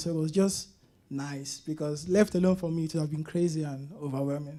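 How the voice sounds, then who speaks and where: The speaker has a Nigerian accent. The pace is fairly quick. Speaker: college student. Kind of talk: panel interview.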